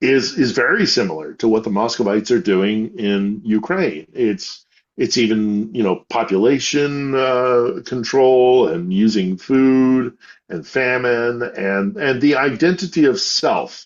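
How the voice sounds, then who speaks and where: Speaking in an American accent, a man uses a medium pitch and a fairly slow pace. His intonation is lively. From United States. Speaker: war correspondent. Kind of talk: interview conversation. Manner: many fillers and repetitions.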